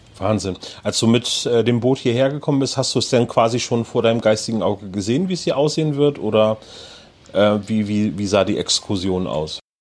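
With lively intonation and a moderate pace, this is a plain, everyday voice. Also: man, medium pitch for a man. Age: 40s. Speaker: podcast host. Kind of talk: casual chat. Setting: on location in a harbour.

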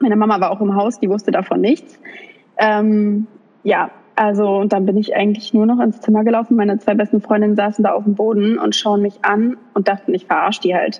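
Over noticeable background noise, a woman with a fairly high pitch talks at a fairly quick pace in a monotone, flat intonation with very even loudness. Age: 20s. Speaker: influencer and young mother. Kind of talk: interview.

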